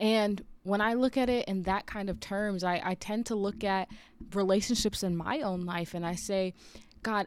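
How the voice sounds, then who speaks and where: In a very clean recording with a silent background, a woman of medium pitch uses an ordinary speaking voice with ordinary pitch variation. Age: 30s. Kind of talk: devotional talk. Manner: casual, conversational.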